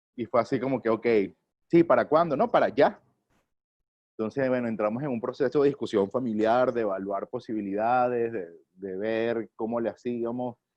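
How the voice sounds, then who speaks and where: This man has a plain, everyday voice, medium in pitch, with ordinary pitch variation and a moderate pace. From Venezuela, Caracas. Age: 30s. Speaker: theatre actor and director. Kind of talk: interview. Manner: casual, with many fillers.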